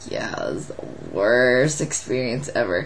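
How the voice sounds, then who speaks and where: A woman speaks at a very slow pace with fairly even intonation over noticeable background noise. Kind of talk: casual vlog talk to camera.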